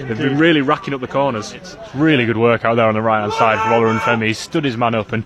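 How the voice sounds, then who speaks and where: A man speaks at a very fast pace with an energetic tone and a medium pitch. His pitch varies in an ordinary way, and there is noticeable background noise. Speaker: football match commentator. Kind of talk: live radio football commentary. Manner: fast, energetic, fluent.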